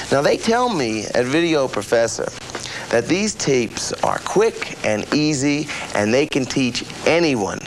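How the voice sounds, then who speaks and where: Over noticeable background noise, a man with a fairly high pitch talks at a fairly slow pace, his pitch swinging very widely while his loudness stays very even. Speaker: actor, infomercial host. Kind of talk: infomercial host talk to camera. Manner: casual, self-deprecating, hesitant.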